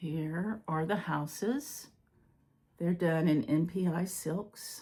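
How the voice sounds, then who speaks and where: Her voice fairly low and somewhat breathy, a woman speaks at a very slow pace. Her pitch varies in an ordinary way. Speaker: cross-stitch video creator. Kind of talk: casual hobby show-and-tell. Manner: casual, with filler words.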